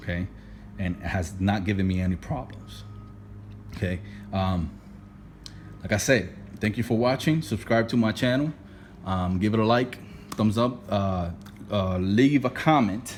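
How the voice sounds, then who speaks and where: A man's fairly low voice with a strong non-native accent, ordinary pitch variation, a moderate pace and long, frequent pauses. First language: not English. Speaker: DIY car repair youtuber. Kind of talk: tutorial. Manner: casual, repetitive with many fillers.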